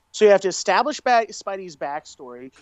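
A man talks at a very fast pace. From Mexican heritage. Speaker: podcast co-host. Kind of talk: casual chat.

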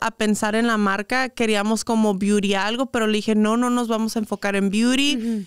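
A woman's fairly high voice with fairly even intonation, a dry sound with no echo and a quiet background. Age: 20s. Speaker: influencer and entrepreneur; influencer. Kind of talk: casual interview chat. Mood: relaxed, open storytelling. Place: studio. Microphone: studio mic.

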